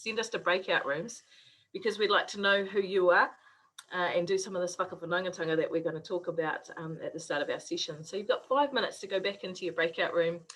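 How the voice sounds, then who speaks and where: A woman in a New Zealand accent at a very fast pace, with ordinary pitch variation. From New Zealand, West Auckland. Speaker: university lecturer in Māori health. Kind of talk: online workshop presentation.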